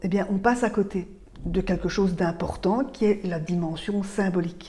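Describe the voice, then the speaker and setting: Speaking with a Belgian accent, a woman has a dark, mellow tone and fairly even intonation. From Belgium. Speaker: author and speaker on mental load. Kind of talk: talk to camera. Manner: hesitant, with frequent filler sounds.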